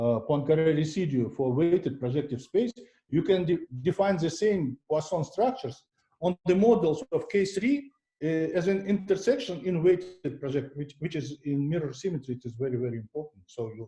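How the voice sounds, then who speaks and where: A dark, mellow voice with a non-native accent, lively intonation and a moderate pace. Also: man, fairly high pitch for a man. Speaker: mathematician giving a seminar talk. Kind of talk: lecture. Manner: halting, many fillers and restarts.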